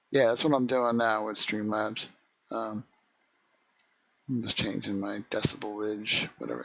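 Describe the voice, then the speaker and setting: A soft-spoken, mumbling man at a moderate pace. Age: 50s. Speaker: video game streamer. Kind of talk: live gameplay stream commentary.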